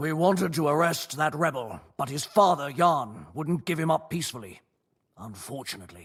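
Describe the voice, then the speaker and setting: A man's put-on character voice, fairly high in pitch, with lively intonation and a moderate pace. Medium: video game. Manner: cold, contemptuous.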